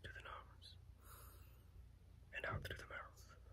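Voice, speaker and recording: He keeps to a moderate pace. The man whispers throughout. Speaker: reiki healer. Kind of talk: reiki healing session, relaxing guided talk. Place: home room. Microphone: phone near.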